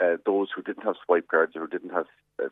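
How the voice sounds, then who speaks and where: A man talks with a Cork accent. His pace is very fast. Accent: Cork Irish. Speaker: politician. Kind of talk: radio interview.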